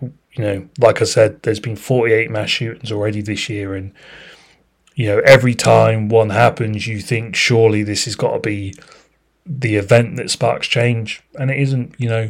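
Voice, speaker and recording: A man with a British accent talks at a moderate pace in a medium-pitched, somewhat breathy voice. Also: fairly even intonation. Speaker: podcast host. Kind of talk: casual interview chat. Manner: halting, repeats words.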